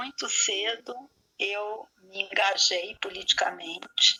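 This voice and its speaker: At a very slow pace, a woman with a fairly high pitch speaks with lively intonation. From Brazil, Rio de Janeiro suburb. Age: 60s. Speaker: spiritual leader. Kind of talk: interview. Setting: radio program.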